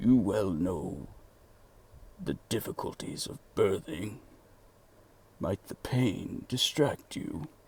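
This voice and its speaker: Using a put-on character voice at medium pitch, a man speaks very slowly with very wide pitch swings and long, frequent pauses. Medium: read story. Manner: timid, deferential.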